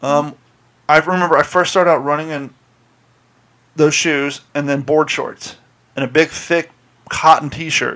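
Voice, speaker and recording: A man with a Southern US accent speaks at a moderate pace in a fairly high pitch, his tone bright and sharp. His intonation is monotone and flat, broken by long, frequent pauses. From US South. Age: 40s. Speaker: podcast host. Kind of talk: casual chat. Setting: studio.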